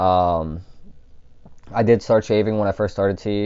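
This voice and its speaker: Speaking at a moderate pace, a man keeps his very deep, low voice monotone and flat. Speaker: vlogger. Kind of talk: casual vlog talk. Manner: halting, many fillers.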